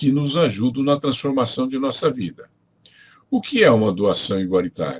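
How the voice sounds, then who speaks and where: Vocal fry colors the speech of a man with a medium pitch. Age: 70s. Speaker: spiritual teacher. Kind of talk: lecture. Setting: livestream from home. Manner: reads from notes.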